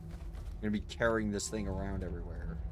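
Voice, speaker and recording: Speaking at a moderate pace, a man with a very deep, low voice and vocal fry swings his pitch very widely, with audible echo in the room. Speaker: VTuber streamer. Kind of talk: casual gaming livestream chat. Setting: home streaming setup with headphones. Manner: halting, repeats words.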